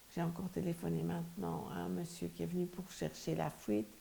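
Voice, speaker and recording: A woman with a very deep, low pitch makes very wide pitch swings while keeping a moderate pace. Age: 70s. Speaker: interviewee. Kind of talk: interview. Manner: halting.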